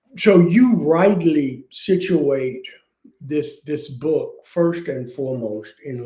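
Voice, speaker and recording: A man speaks at a fairly high pitch with ordinary pitch variation. His voice is somewhat breathy, with a dark, mellow tone. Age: 70s. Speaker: author and aging advocate. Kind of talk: interview conversation. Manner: halting, repeats words.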